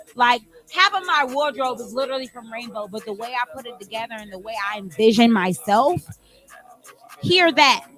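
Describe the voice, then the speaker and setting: With an animated tone and a moderate pace, the speaker talks over noticeable background noise. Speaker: musical theater performer. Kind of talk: casual chat.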